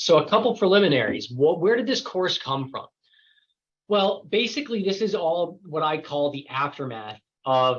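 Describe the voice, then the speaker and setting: Very wide pitch swings from a man. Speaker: lawyer teaching a certification course. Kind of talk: lecture. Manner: fast.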